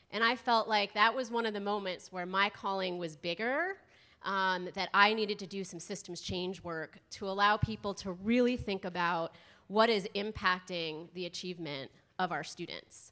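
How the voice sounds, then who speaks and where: A woman speaks at a moderate pace with an American accent and a bright, sharp tone. Her pitch varies in an ordinary way, and the background is quiet. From US East Coast. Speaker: school health consultant, presenter. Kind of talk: conference workshop presentation. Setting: conference room with live audience and microphone. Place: hall. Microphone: handheld.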